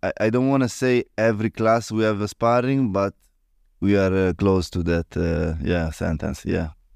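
A man with an Italian accent and a fairly low pitch talks at a moderate pace with ordinary pitch variation, in a dry, close sound with no echo and a quiet background. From Italy. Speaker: martial arts gym owner. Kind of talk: interview. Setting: on location in a gym in Italy. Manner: halting, many fillers.

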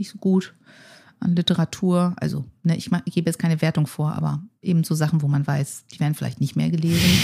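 At a fairly quick pace, a somewhat breathy voice with a dark, mellow tone and ordinary pitch variation comes through on a very clean recording with a silent background. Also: woman. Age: 40s. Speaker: futurist. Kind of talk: conversational interview.

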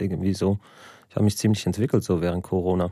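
Speaking at a very fast pace, a man has a dark, mellow tone on a very clean recording with a silent background. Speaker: comedian and show host. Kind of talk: casual podcast chat. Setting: studio.

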